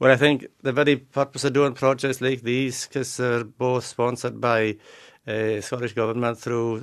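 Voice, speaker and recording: Over a quiet background, a man speaks at a moderate pace. His medium-pitched voice is monotone, with flat intonation. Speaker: dialect researcher. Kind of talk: radio interview answer.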